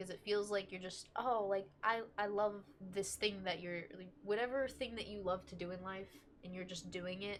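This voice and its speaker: A woman speaks at a medium pitch with ordinary pitch variation. It is a normal speaking voice. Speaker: tarot reader. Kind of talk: tarot reading. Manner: casual, filler-heavy.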